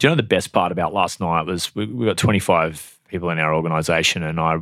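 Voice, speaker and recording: In an Australian accent, the speaker talks at a fairly quick pace with a bright, sharp tone and monotone, flat intonation, on a very clean recording with a silent background. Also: man. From Australia (New South Wales, then Queensland). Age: 30s. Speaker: real estate agency owner. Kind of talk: interview. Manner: hesitant, many fillers.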